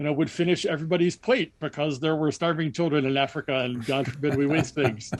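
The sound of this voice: A man at a fairly high pitch, fast and with fairly even intonation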